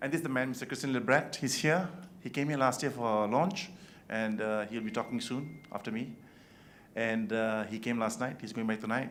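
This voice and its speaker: With audible room echo, a man of medium pitch talks at a fairly quick pace, his pitch varying in an ordinary way. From Malaysia. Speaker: event organizer. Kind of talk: awards welcome speech. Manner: fast.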